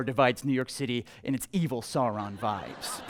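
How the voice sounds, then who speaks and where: A man speaks with a plain, everyday voice. He moves at a fairly quick pace with ordinary pitch variation. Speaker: comedy show host. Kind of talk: live stand-up comedy monologue. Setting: live venue with audience. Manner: upbeat, playful.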